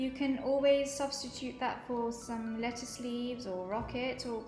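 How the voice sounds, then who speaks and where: A woman's high voice over clear music in the background. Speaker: kids' club cooking host. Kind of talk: tutorial. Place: kitchen. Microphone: camera far.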